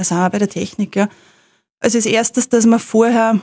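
A woman's dark, mellow tone comes through with a dry, close sound and no echo. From Upper Austria, Rohrbach district. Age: 30s. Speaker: lawyer and freediver. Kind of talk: interview.

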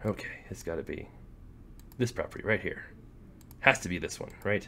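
At a moderate pace, a man delivers his words. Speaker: gaming YouTuber. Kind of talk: casual gameplay commentary. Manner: rambling, self-deprecating. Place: home room.

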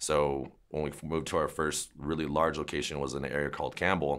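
A man talks at a fairly quick pace with a very deep, low pitch and vocal fry. The background is quiet. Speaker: dog trainer. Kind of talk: interview answer. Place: shop.

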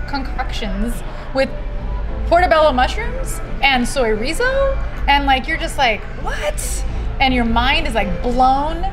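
A woman's fairly slow speech with long, frequent pauses over clear background music. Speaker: guest. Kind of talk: enthusiastic casual chat. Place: bar. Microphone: lapel.

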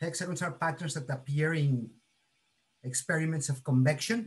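A somewhat breathy man speaks at a moderate pace. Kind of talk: lecture. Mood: cheerful, friendly. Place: kitchen. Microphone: video call.

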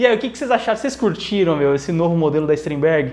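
The speaker is a man. His pitch is high. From Brazil. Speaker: guitar teacher and YouTuber; guitar teacher, YouTuber. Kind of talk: unboxing video. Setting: at home. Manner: animated. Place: home room. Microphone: lapel.

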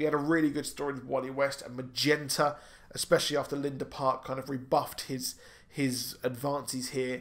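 A man's fairly high-pitched voice in a British accent, at a fairly quick pace, with big swings in loudness. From UK. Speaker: YouTube comic and film commentator. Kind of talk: solo video commentary and review. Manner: animated. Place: home room. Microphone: studio mic.

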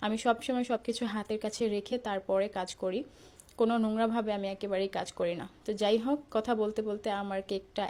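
Fairly high for a woman, her voice has a dark, mellow tone and monotone, flat intonation. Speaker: home baker. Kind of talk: tutorial.

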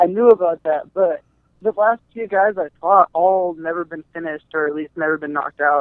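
A man speaks at a moderate pace with a high pitch and ordinary pitch variation. His loudness swings widely. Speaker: MMA fighter. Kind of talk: interview.

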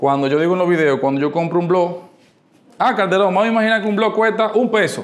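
This man talks at a very fast pace in a high voice, keeping his loudness very even and his pitch variation ordinary. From Dominican Republic. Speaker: architect and business workshop leader; presenter. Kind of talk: workshop talk. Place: meeting room. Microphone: lapel.

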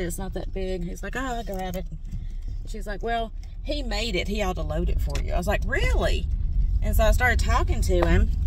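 A woman talks at a very fast pace. The sound is dry with no echo, though noticeable background noise is present. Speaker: reseller vlogger. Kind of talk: casual vlog chat. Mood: happy, excited about find. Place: car. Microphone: phone near.

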